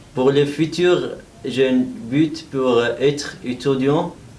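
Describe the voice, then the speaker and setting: A man talks at medium pitch with fairly even intonation, with noticeable background noise and audible room echo. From Iraq. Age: 30s. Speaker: adult French language trainee. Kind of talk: self-introduction speaking exercise. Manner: halting with hesitations.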